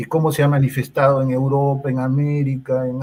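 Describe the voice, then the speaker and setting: Somewhat breathy and dark, mellow in tone, a man speaks at medium pitch with monotone, flat intonation. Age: 60s. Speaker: psychologist. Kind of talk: interview. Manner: hesitant, many fillers.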